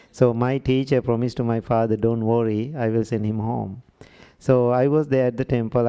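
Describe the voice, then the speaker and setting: Speaking with a Sri Lankan accent, a man has a dark, mellow tone and a moderate pace. The recording is very clean, with a silent background. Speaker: Buddhist monk. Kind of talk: workshop talk.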